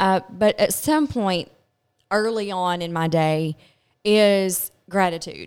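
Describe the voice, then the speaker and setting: A woman with a Kentucky accent is heard on a very clean recording with a silent background. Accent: Southern US (Kentucky). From Kentucky, Glasgow. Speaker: pharmaceutical sales rep. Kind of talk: casual chat. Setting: studio.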